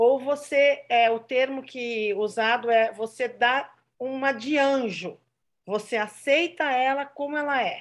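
A woman's high-pitched voice at a very slow pace, with ordinary pitch variation, over a quiet background. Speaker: church member. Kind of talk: testimony.

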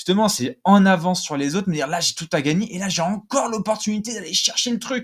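A man's high-pitched, animated voice at a fairly quick pace. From southern France (Nîmes). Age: 20s. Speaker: podcast host and agency CEO. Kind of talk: solo motivational podcast monologue.

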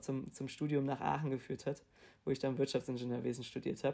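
In a very clean recording with a silent background, a man speaks in a flat monotone with a dark, mellow tone and fairly high pitch. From Hamburg, northern Germany. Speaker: management consultant. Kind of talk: interview. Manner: halting.

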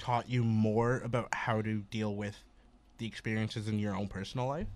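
In a plain, everyday voice, a man speaks at medium pitch and a moderate pace on a very clean recording with a silent background. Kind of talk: student radio host patter: back-from-break station ID and welcome. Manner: upbeat, chatty, casual.

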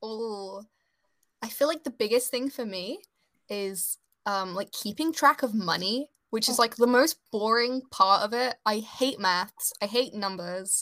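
Her bright, sharp tone carries ordinary pitch variation as the woman speaks on a very clean recording with a silent background. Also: fairly high pitch for a woman. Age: 20s. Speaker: illustrator and small business owner. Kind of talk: casual interview chat.

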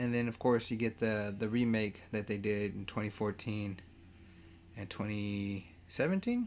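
A man's fairly low voice moves along at a moderate pace. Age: 30s. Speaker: podcast host reviewing movies. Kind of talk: solo casual movie talk. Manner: animated.

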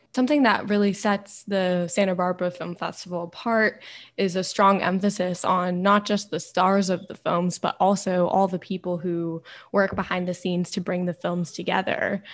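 Recorded very cleanly against a silent background, a woman with an ordinary speaking voice talks at a moderate pace in a medium pitch with fairly even intonation. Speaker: student podcast host.

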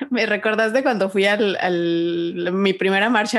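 A woman talks with fairly even intonation. There is noticeable background noise. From Mexico. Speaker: podcast co-host. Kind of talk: casual chat. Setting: remote recording.

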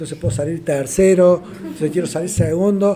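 Fairly even in intonation, this somewhat breathy voice has a dark, mellow tone. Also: man. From Argentina. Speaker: adaptive athlete and motivational speaker. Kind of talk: casual interview conversation. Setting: podcast recording with small live audience.

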